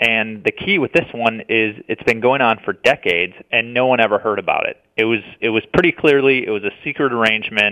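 A man speaks in a normal speaking voice at a medium pitch with ordinary pitch variation. He talks at a fairly quick pace with hardly any pauses. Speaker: policy researcher. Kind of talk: interview.

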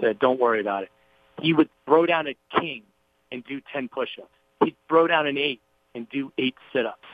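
Long, frequent pauses and big swings in loudness mark this voice, with music in the background. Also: man, fairly high pitch for a man, ordinary pitch variation, moderate pace. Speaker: TV host and podcaster. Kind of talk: interview storytelling.

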